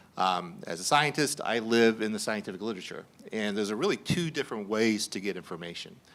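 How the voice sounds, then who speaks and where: The speech has a Southern US accent and lively intonation. The pace is very fast. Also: man, fairly low pitch for a man. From US South. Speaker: scientist and panel moderator. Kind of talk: panel discussion. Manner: halting, many repeated words.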